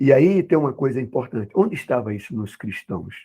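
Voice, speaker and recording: This man has a medium-pitched, dark, mellow voice that is somewhat breathy. He talks at a fairly slow pace with lively intonation. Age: 60s. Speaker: Bible school teacher. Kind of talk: Bible class lesson. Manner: halting, many fillers.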